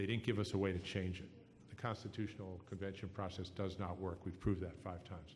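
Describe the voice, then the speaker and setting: A man with a very deep, low, somewhat breathy voice speaks very fast in a flat monotone, with audible room echo. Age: 60s. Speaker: political candidate. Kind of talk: political debate answer. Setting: live radio forum.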